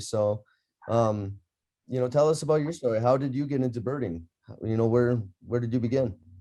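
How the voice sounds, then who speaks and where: With an Upper Midwest accent, a man speaks at a moderate pace over a quiet background, his medium-pitched voice dark and mellow in tone, with ordinary pitch variation. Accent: Upper Midwest American. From Minnesota, Cook County. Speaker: birding instructor, interviewer. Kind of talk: interview.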